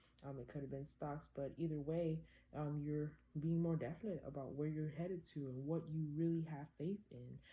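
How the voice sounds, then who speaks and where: A woman speaks at a moderate pace with a very deep, low pitch and a dark, mellow tone. Her voice is somewhat breathy, and her intonation stays fairly even. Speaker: tarot reader. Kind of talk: tarot reading. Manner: casual, conversational.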